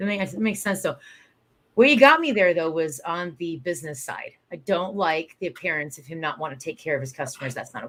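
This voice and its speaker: Talking at a very fast pace, a woman with a fairly low pitch uses lively intonation and an animated tone, with big swings in loudness. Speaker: small business event organizer. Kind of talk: live-stream conversation.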